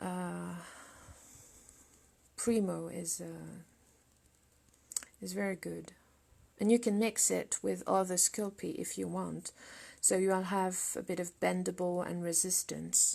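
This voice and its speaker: A woman with a French accent speaks at a very slow pace, leaving long, frequent pauses. The recording is very clean, with a silent background. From France. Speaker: sculptor. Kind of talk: live sculpting demonstration with Q&A. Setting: studio livestream. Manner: halting. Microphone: laptop.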